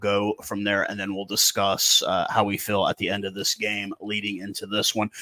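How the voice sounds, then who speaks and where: A man with an ordinary speaking voice talks in an American accent at a moderate pace. His pitch is fairly low. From USA. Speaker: rugby commentator YouTuber. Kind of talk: casual commentary vlog.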